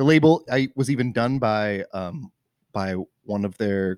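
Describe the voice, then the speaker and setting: Ordinary pitch variation with an American accent, in a very clean recording with a silent background and a dry, close sound with no echo. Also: man. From Washington state, Tacoma area. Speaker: brewer. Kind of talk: casual chat. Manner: halting, many fillers.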